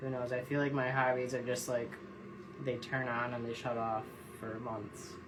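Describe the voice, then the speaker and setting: A man with a medium pitch speaks at a moderate pace in a monotone, flat intonation. Noticeable background noise and audible room echo are present. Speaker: jig tier and tackle maker. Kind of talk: casual live-stream tutorial. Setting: Instagram live stream at tying bench. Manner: casual, meandering.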